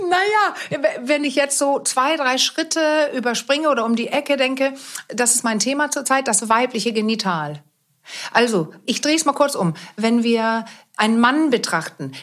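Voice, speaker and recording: Lively intonation in a woman's high voice. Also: moderate pace. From Denmark. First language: Danish (speaking German). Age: 50s. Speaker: sex therapist. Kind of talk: interview.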